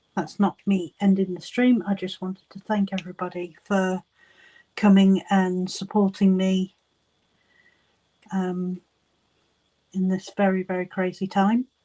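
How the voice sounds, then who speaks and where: A woman talks fairly slowly at medium pitch, somewhat breathy and monotone, with long, frequent pauses in a dry, close sound with no echo. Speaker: crafting youtuber live streamer. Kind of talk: casual live stream chat. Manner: giggly, hesitant with many ums.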